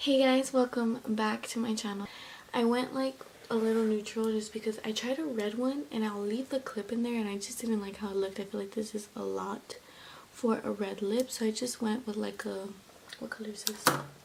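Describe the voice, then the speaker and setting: There is noticeable background noise behind a woman with a fairly high pitch. She speaks at a moderate pace with fairly even intonation. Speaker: beauty vlogger. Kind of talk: makeup tutorial. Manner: casual, filler-heavy.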